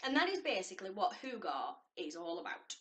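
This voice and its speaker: A woman speaks with a Lancashire accent. Her pitch swings very widely. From northern England, Lancashire. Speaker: lifestyle vlogger. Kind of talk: casual vlog talk to camera.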